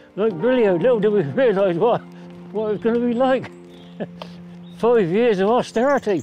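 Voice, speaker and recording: Music plays behind speech broken by long, frequent pauses. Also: man, high pitch for a man, ordinary pitch variation, moderate pace. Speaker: grandfather recalling wartime childhood. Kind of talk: documentary interview answer.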